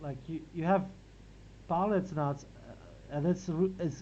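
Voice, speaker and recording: The speaker uses a Latvian accent and a moderate pace. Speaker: philosophy reading group organizer. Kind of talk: academic discussion. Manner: halting, many repetitions.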